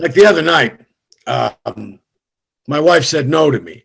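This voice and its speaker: A man with a fairly high pitch, lively intonation, vocal fry and a moderate pace. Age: 60s. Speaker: comedian. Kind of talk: stand-up.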